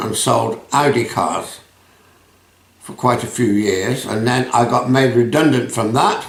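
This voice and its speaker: A man's medium-pitched voice at a fairly slow pace, with ordinary pitch variation and audible room echo. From England (Rugby area). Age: 80s+. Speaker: retired businessman. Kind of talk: interview.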